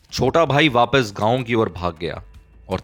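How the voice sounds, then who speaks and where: Music is audible in the background. Over it, a man talks with lively intonation. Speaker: audiobook narrator. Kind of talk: audiobook story narration.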